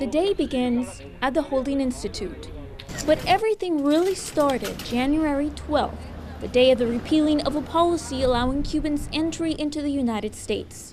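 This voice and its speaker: Noticeable background noise behind a woman's high pitch, moderate pace and ordinary pitch variation. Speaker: TV news reporter. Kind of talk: TV news report.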